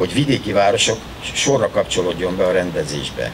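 At a moderate pace, a man talks over background noise that is easy to notice. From Hungary. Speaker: sports official and former Olympic champion. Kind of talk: ceremonial speech. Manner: formal. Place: garden. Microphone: podium.

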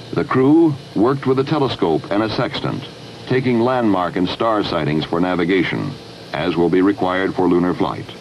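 A man speaks in a solemn tone at a moderate pace, his fairly low voice swinging very widely in pitch. His loudness stays very even, with noticeable background noise behind him. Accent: American. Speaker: documentary narrator. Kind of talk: 1960s NASA documentary narration, scripted and authoritative. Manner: formal, measured, steady and dignified; solemn pride.

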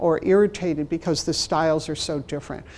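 A woman's dark, mellow voice with a Chicago accent. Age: 60s. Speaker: library management trainer and consultant; presenter. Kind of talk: workshop presentation. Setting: stage with audience, also streamed online. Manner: humorous, conversational. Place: meeting room.

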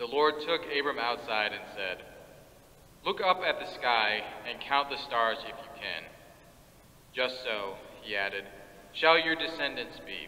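Speaking at a fairly slow pace, a man uses ordinary pitch variation. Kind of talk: scripture reading. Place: church. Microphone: podium.

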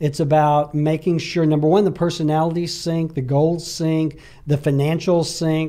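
A man with an Alabama accent speaks at a moderate pace in a dark, mellow tone, his pitch fairly high and his intonation monotone and flat, against a quiet background. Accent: Southern US (Alabama). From Alabama, US South. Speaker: real estate agent and entrepreneur; guest. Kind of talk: casual interview chat. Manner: frequent hesitations. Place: studio. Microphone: studio mic.

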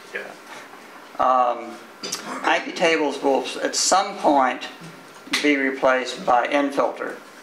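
A man with an American accent speaks very slowly at a fairly high pitch, with ordinary pitch variation and long, frequent pauses. Audible room echo and light background noise are present. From Texas. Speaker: IT security engineer; conference presenter. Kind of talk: conference talk. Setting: stage with audience. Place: meeting room.

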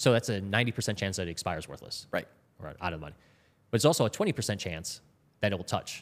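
An unremarkable speaking voice from a man, fairly low in pitch, with lively intonation, big swings in loudness and a fairly quick pace, on a very clean recording with a silent background. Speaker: former Wall Street trader. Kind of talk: casual interview. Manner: repeats words when starting sentences.

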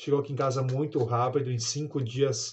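A man's fairly high, somewhat breathy voice with a Brazilian accent, fairly even intonation and a moderate pace. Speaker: product reviewer. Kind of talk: casual product testimonial. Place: home room.

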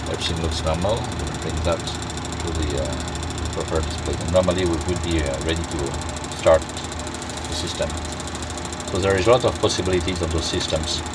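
The sound is dry with no echo, with noticeable background noise and a moderate pace. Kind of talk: tutorial. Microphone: phone near.

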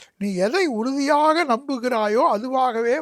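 Lively intonation comes through on a very clean recording with a silent background. The sound is dry and close, with no echo. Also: man. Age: 70s. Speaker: religious orator. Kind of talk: interview.

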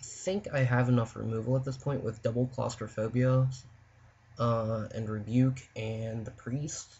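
Intonation stays fairly even here. There is a somewhat breathy quality to the voice. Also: man. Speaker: Magic: The Gathering player. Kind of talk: card game draft commentary. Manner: casual, hesitant.

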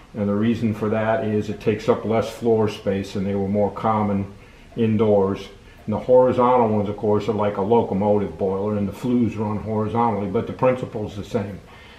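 Fairly quick, flat monotone speech from a man with a fairly low pitch, in a room with audible echo. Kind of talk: tutorial. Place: workshop. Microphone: phone near.

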